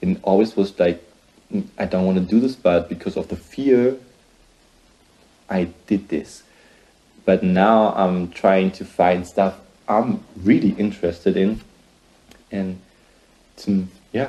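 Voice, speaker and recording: A man with a German accent talks fairly slowly in a dark, mellow, fairly low voice, leaving long, frequent pauses. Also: fairly even intonation. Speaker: singer-songwriter vlogger. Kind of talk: casual vlog. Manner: halting.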